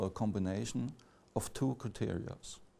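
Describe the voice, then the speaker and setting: A man with a non-native accent, a fairly low pitch, ordinary pitch variation and a dark, mellow tone. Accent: non-native English speaker. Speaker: academic lecturer. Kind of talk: lecture. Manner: halting, many fillers and restarts.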